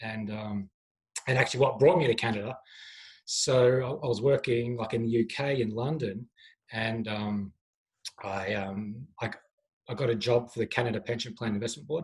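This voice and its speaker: With an Australian accent, a man speaks somewhat breathily at a moderate pace with fairly even intonation and long, frequent pauses. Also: medium pitch for a man. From Australia, rural Victoria. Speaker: startup founder and CEO. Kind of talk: podcast interview. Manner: hesitant, many fillers.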